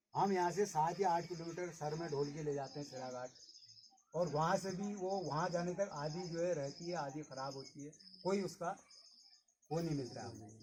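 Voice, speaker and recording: A man with a normal speaking voice talks at a moderate pace, using ordinary pitch variation. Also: fairly high pitch for a man. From Uttarakhand, Almora (Kumaon hills). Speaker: villager farmer. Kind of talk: interview statement.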